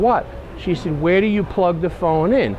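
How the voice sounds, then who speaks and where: Noticeable background noise runs behind a man. He speaks at a fairly quick pace in a high pitch. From New York. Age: 60s. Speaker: van enthusiast. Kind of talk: casual show-and-tell. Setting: outdoor truck show.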